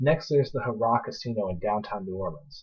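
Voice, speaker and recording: A man's somewhat breathy voice at a fairly quick pace. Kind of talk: casual slideshow pitch to friends. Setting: poor home microphone.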